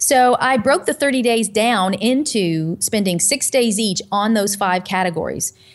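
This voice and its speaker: A woman's ordinary speaking voice in an American accent, medium in pitch, fairly slow, with ordinary pitch variation and very even loudness. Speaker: pastor and nutritional counselor. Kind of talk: interview. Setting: video call.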